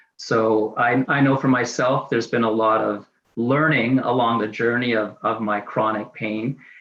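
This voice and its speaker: This is an unremarkable speaking voice from a man with a Canadian accent. He sits at a medium pitch with ordinary pitch variation. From Canada, Saskatchewan (Saskatoon). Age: 60s. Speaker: person with chronic pain sharing lived experience. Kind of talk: testimony.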